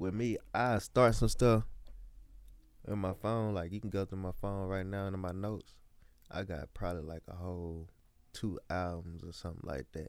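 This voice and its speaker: A man with a very deep, low pitch and a Mississippi accent at a moderate pace, fairly even intonation and long, frequent pauses, on a very clean recording with a silent background. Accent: US South, Mississippi. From Mississippi, Columbia. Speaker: up-and-coming rapper. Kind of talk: casual interview.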